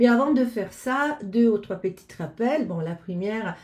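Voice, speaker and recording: A woman's fairly high, somewhat breathy voice with a dark, mellow tone at a very slow pace. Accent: Italian. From Italy. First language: Italian (speaking French). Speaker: astrologer. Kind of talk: casual address to viewers. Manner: halting, many hesitations.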